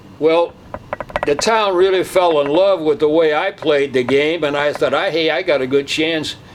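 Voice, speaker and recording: With noticeable background noise behind him, the man talks at a moderate pace, his fairly high pitch varying in an ordinary way. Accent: American. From US Midwest, St. Louis, Missouri. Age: 80s+. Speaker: retired baseball player. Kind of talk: interview, reminiscing.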